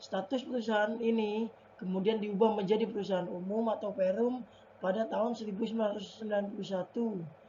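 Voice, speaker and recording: Quiet speech comes at a fairly quick pace with fairly even intonation, over noticeable background noise. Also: woman. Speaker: university student. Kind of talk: class presentation. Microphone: faulty mic, voice may be quiet.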